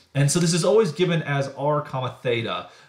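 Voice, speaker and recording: Speaking with an American accent, a man has a fairly high pitch and a somewhat breathy voice. His pitch varies in an ordinary way. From US, Idaho. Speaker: math professor.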